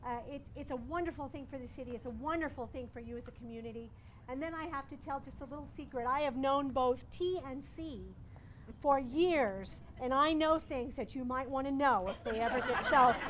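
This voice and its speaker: Audible room echo surrounds speech delivered at a fairly quick pace with ordinary pitch variation. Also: woman, high pitch for a woman. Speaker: city councilor. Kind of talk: ceremony speech. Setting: outdoor ribbon cutting, no microphone. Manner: raised voice.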